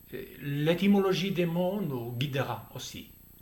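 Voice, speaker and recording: A man with a non-native accent speaks very slowly at a high pitch with lively intonation. Audible room echo surrounds the voice. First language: Spanish or Basque (speaking French). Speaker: theologian. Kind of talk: lecture. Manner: formal; slightly halting.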